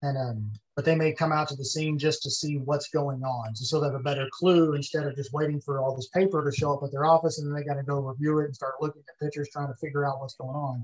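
A man talks at a very fast pace in a Texan accent. His pitch is fairly high. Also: fairly even intonation. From Texas, Ellis County. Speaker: former police investigator. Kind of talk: interview.

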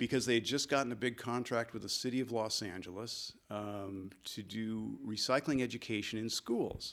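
A man with an American accent talks at a moderate pace and medium pitch, with hardly any pauses. He has an unremarkable speaking voice. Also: fairly even intonation, very clean recording, silent background. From Michigan, US Midwest. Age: 60s. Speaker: ecologist and naturalist. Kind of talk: interview conversation.

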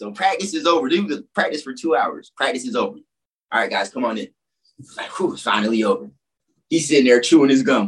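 With an American accent, a man talks at a fairly quick pace with long, frequent pauses, his fairly high pitch swinging very widely. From Florida, Orlando and Fort Lauderdale. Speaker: former college and pro basketball player. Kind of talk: casual chat.

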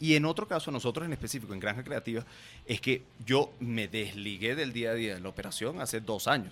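The recording is very clean with a silent background. A man with an ordinary speaking voice, medium pitch and ordinary pitch variation speaks at a fairly quick pace. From Venezuela, raised in Guatemala. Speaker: marketing agency founder. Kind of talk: casual interview.

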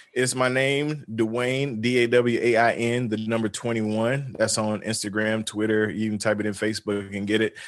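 Here a man speaks with a Southern US accent. His intonation is fairly even. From US South, rural North Carolina. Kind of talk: casual interview. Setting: video call.

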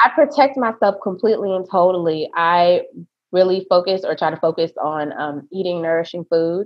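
A woman talks at a moderate pace, medium in pitch with ordinary pitch variation. It is a plain, everyday voice. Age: 30s. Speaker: esthetician and nurse. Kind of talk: casual interview.

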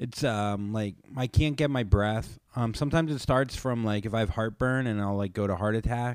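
At a moderate pace, a man uses an ordinary speaking voice of medium pitch with ordinary pitch variation. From Florida, US. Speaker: comedian and podcaster. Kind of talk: casual interview chat.

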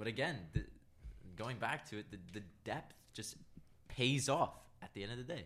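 A man with a medium pitch speaks with lively intonation and vocal fry, leaving long, frequent pauses. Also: moderate pace, big swings in loudness. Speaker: hockey fan podcast guest. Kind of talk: casual chat.

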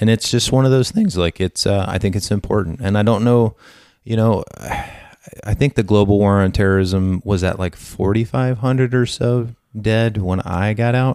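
In a very clean recording with a silent background, a man with an American accent and a fairly low, dark, mellow voice talks at a moderate pace, with very even loudness and ordinary pitch variation. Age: 30s. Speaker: military veteran. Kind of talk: casual chat.

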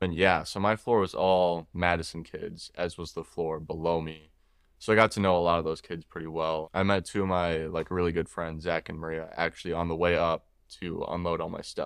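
Against a quiet background, a man with an American accent speaks at a very deep, low pitch in a flat monotone. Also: fairly quick pace. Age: 20s. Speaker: college student guest. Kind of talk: casual interview. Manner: low-key, sad-sounding.

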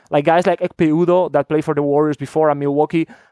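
A voice with a Spanish accent and fairly even intonation comes through dry and close, with no echo and a quiet background. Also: man. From Spain. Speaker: basketball draft analyst. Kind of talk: casual chat.

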